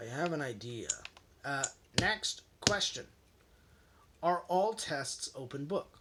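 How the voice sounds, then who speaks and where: With noticeable background noise behind him, a man speaks at a fairly high pitch with lively intonation and long, frequent pauses. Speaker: accessibility advocate and YouTuber. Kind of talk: casual vlog talk. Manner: fast; halting, many restarts.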